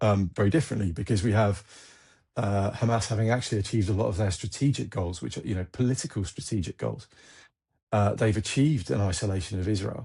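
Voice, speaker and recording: A dark, mellow, somewhat breathy voice speaks very fast in an English accent. Pitch variation is ordinary, and the background is quiet. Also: man, fairly low pitch for a man. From England. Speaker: military analyst, former army officer. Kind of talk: interview. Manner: halting, repeats words.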